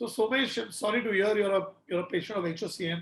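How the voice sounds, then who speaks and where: A man speaks in a high voice at a fairly quick pace, with ordinary pitch variation. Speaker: doctor answering viewer health questions. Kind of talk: live health Q&A.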